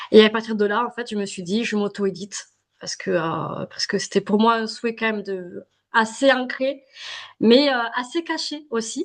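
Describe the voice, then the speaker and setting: A woman speaks in a southern French accent at a moderate pace. Her pitch is fairly high, with ordinary variation. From southern France. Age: 30s. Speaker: self-published novelist. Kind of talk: podcast interview. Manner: hesitant, many fillers.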